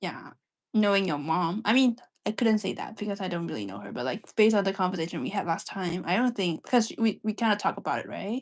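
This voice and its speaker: A woman's very fast, lively delivery with vocal fry, on a very clean recording with a silent background. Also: medium pitch for a woman. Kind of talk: casual chat.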